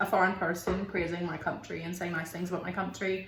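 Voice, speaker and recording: A woman's voice of medium pitch. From Belfast, Northern Ireland. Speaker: YouTuber. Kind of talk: casual talk to camera.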